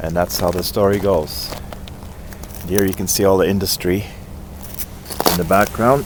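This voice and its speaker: Noticeable background noise sits behind a man with a very deep, low pitch and fairly even intonation. He keeps a moderate pace, with long, frequent pauses. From Germany, moved to British Columbia as a child. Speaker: outdoor vlogger. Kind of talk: casual vlog narration. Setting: outdoors by a river. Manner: halting with many fillers.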